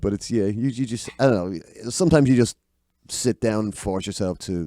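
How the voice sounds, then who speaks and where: A man with a Dublin accent, fairly low in pitch and dark, mellow in tone, at a fairly quick pace with lively intonation, in a dry, close sound without echo. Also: very clean recording, silent background. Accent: Dublin Irish. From Ireland, Dublin. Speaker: singer-songwriter. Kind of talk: casual chat. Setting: studio. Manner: halting.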